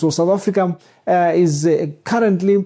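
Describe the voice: The tone is dark and mellow. Intonation stays fairly even at a moderate pace.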